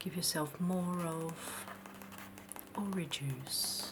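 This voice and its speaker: Soft-spoken and very slow, the voice has a soothing tone over noticeable background noise. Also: woman. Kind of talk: ASMR roleplay, soft-spoken apothecary shopkeeper. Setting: close-mic ASMR recording. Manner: soft-spoken, soothing, slow.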